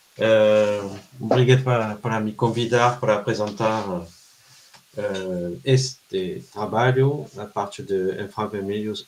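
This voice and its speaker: A man with a French accent speaks very slowly at a fairly low pitch with ordinary pitch variation, over noticeable background noise. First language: French (speaking Portuguese). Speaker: researcher. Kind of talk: lecture. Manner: halting.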